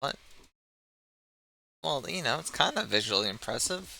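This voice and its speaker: On a very clean recording with a silent background, a man speaks in a bright, sharp tone with vocal fry. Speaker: live streamer, news show host. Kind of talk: casual live stream commentary; reading news article aloud. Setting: live stream. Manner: loud.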